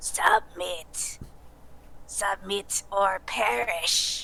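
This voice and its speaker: A female-sounding voice, raspy and at a medium pitch, does a put-on character voice. Clear background noise runs underneath. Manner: commanding, menacing.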